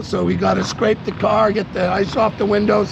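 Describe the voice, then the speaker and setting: A man at a moderate pace, dry sound with no echo and noticeable background noise. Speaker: vlogger on a road trip. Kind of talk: casual vlog chat. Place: street. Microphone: phone near.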